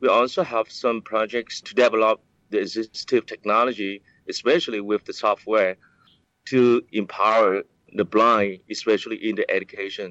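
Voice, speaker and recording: At a moderate pace, a man speaks with a Vietnamese accent. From Vietnam, countryside east of Saigon. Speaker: director of a center for the blind. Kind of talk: interview. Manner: halting.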